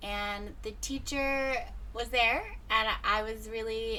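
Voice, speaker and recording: A woman is speaking in a space with audible room echo. Noticeable background noise is present too. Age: 30s. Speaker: radio host. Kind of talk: interview. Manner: animated.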